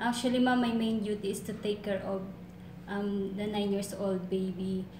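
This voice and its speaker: A woman speaks at a fairly slow pace in a monotone, flat intonation over noticeable background noise. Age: 20s. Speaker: domestic helper applicant. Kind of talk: job interview. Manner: halting. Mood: earnest, eager to please. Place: office. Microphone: camera far.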